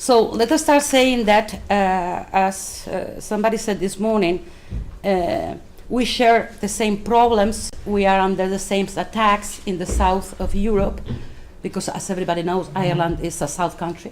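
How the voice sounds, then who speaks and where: A woman with a Spanish accent talks at a moderate pace and medium pitch, with ordinary pitch variation. Audible room echo and noticeable background noise are present. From Spain, Madrid. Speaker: left-wing politician. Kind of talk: conference speech. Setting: conference round table. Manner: hesitant, many fillers.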